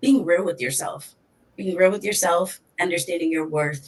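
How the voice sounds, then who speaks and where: This is a normal speaking voice at a fairly quick pace with ordinary pitch variation. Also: woman. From Hartford, Connecticut, US; Puerto Rican heritage. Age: 20s. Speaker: advocate and entrepreneur. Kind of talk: podcast interview.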